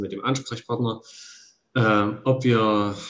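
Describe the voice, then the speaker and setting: The speaker is a man with medium pitch. His intonation stays fairly even. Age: 40s. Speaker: church volunteer. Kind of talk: casual chat. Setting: remote call.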